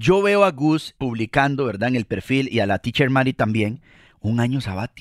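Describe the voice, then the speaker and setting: A man with a Costa Rican accent speaks at medium pitch and a moderate pace, with an animated tone and lively intonation. The sound is dry and close with no echo, in a very clean recording with a silent background. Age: 30s. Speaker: podcast co-host, communicator. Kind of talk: casual chat.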